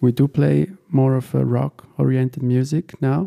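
Speaking very slowly at medium pitch, a man uses fairly even intonation and a dark, mellow tone, with a dry, close sound and no echo. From Italy. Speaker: guitarist and producer. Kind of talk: interview.

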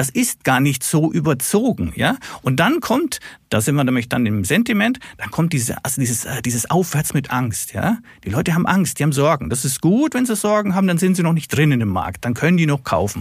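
Fairly high-pitched with vocal fry, a man speaks at a fairly quick pace. His pitch swings very widely. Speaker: stock market analyst. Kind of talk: casual chat.

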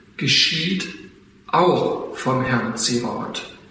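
Over noticeable background noise and audible room echo, a man speaks at a medium pitch with ordinary pitch variation. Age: 40s. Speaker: church elder and farmer. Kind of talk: testimony.

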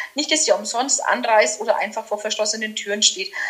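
Over noticeable background noise, a woman speaks at a moderate pace with lively intonation. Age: 40s. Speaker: master florist and decorator. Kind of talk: casual interview chat.

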